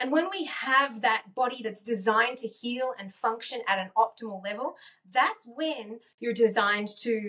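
Upbeat and animated, a woman speaks at a moderate pace. Her pitch is fairly high, with ordinary pitch variation. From Australia. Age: 50s. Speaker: wellness coach and author. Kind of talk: interview conversation. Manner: upbeat, animated.

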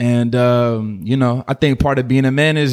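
A man with an American accent, an unremarkable speaking voice, medium pitch and fairly even intonation. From Oakland/Berkeley, California. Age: 20s. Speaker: musician. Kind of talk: casual chat.

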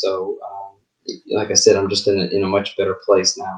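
A man talks with a slight Southern US accent. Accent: slight Southern US overlay. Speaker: singer-songwriter. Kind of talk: casual interview chat.

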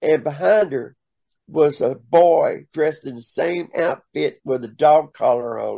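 His pace runs fairly slow. This man has a Southern US accent. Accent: Southern US drawl. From US South. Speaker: drag performer. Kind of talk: storytelling interview.

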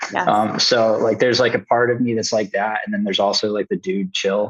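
A man with an American accent speaks at a fairly low pitch in a monotone, flat intonation. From Maryland and New England, US. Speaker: supplement scientist. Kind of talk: casual interview.

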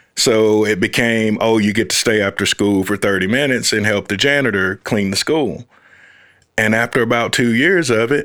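On a very clean recording with a silent background, a man with an unremarkable speaking voice and an American accent talks at a moderate pace and medium pitch, with ordinary pitch variation. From US South, Fort Valley, Georgia. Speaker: uncle of the host, father. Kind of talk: casual conversation.

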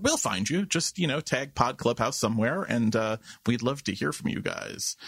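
A man with an American accent at a fairly quick pace, the sound dry and close with no echo. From New York City (Queens). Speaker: podcast host. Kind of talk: casual chat.

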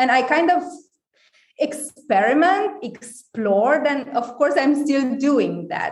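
A woman with a Romanian accent speaks at a fairly slow pace with ordinary pitch variation. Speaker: wellness company founder. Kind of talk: casual interview.

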